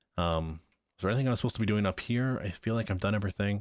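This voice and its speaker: In a very clean recording with a silent background, a man with a fairly low pitch speaks at a very fast pace with ordinary pitch variation. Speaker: gaming video creator. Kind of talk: let's play commentary. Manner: casual, thinking aloud.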